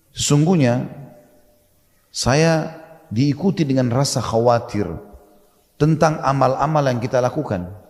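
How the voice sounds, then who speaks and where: Speaking slowly with long, frequent pauses, a man has a fairly high pitch and ordinary pitch variation. His voice is somewhat breathy, with very even loudness. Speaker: Islamic preacher. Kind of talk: Islamic sermon (ceramah) retelling a historical story. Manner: explanatory, conversational.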